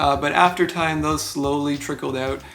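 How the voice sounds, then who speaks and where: A man with a Canadian accent at a very fast pace, ordinary pitch variation, and noticeable background noise. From Canada, Ontario (Barrie). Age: 20s. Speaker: filmmaker and visual effects editor. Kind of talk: personal narration about career. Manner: casual, conversational with filler words.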